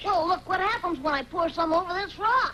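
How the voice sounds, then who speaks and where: A cartoonish character voice at an extremely high pitch, fairly quick, over clear background noise. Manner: friendly, innocent.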